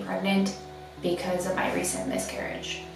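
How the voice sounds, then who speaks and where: A woman speaks at a fairly slow pace in a room with audible echo, faint music playing in the background. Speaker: vlogger. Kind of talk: casual vlog chat. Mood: subdued, hesitant, emotional. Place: bathroom.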